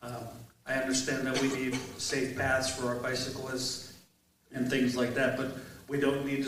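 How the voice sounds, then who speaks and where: Noticeable background noise and audible room echo surround this recording. A man talks at a moderate pace with a medium pitch and monotone, flat intonation. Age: 60s. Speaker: mayoral candidate, retired military veteran. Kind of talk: candidate forum opening statement. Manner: halting, filler-heavy.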